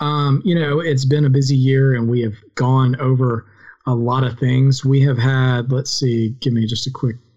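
A man talks at a fairly slow pace in a somewhat breathy voice with fairly even intonation. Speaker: podcast host. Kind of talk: casual chat. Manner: rambling, filler-heavy.

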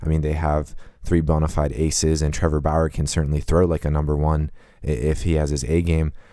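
On a very clean recording with a silent background, a man with an American accent speaks in a very deep, low pitch with monotone, flat intonation. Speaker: sports podcast co-host. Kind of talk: casual chat. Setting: podcast recording. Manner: halting, many fillers.

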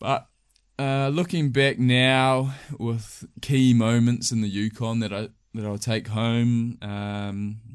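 A man with a New Zealand accent speaks at a medium pitch with ordinary pitch variation. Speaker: hunting guide. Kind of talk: casual chat. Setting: recorded in sleeping bags indoors.

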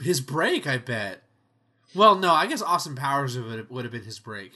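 A man talks at a fairly quick pace with a bright, sharp tone. The background is quiet. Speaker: podcast host. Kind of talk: casual chat.

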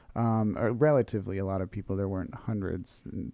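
His pitch rises and falls in an ordinary way. The man has a normal speaking voice. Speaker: podcast host. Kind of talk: casual interview.

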